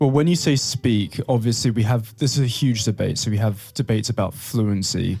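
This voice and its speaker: There is noticeable background noise behind this man. He talks at a fairly quick pace with very even loudness and ordinary pitch variation. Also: medium pitch for a man. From England. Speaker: podcast co-host, language teacher. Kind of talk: casual chat.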